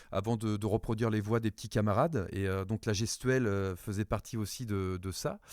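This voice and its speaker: Over a very clean recording with a silent background, a man talks at a moderate pace with a medium pitch. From France. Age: 40s. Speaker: voice-over actor and stage actor. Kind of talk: interview. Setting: podcast interview. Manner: halting, many fillers.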